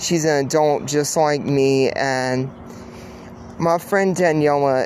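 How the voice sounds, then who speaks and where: A woman speaks at a very deep, low pitch with fairly even intonation and a very slow pace. There is audible room echo along with noticeable background noise. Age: 30s. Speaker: podcast host. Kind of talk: solo monologue. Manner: halting.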